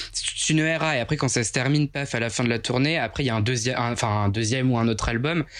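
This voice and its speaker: A man talks at a very fast pace with hardly any pauses, very even loudness and ordinary pitch variation. Noticeable background noise sits behind him. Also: medium pitch for a man. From Picardy, northern France. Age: 20s. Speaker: plant influencer. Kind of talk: casual chat.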